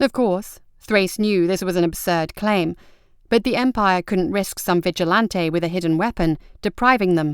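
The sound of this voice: A woman speaks with a fairly low pitch. Her tone is clear and smooth. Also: very clean recording, silent background.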